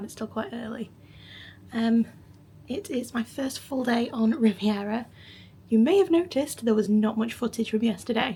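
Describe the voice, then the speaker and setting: A quiet, raspy woman's put-on character voice, fairly high in pitch, at a moderate pace broken by long, frequent pauses. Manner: quiet, hushed.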